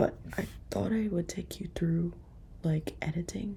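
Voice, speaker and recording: A woman's voice over noticeable background noise. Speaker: nurse vlogger. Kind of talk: vlog. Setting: at home at night. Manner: soft-spoken.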